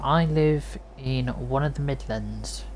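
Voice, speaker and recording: Audible room echo carries a woman's voice. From Cornwall, England. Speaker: game streamer. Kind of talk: live gameplay stream chat with viewers. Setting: live stream.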